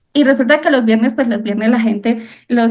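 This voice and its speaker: Speaking with a Colombian accent, a woman talks in a high voice. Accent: Cúcuta (Colombian) accent, noticeable. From Colombia, Cúcuta. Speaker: architect. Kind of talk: interview.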